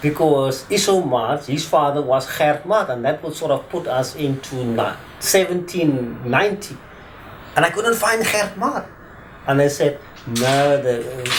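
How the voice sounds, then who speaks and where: A man with a fairly high voice talks at an even, moderate tempo and typical pitch movement, his words carrying room echo and noticeable noise behind them. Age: 50s. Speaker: attorney, former teacher. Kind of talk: interview testimony.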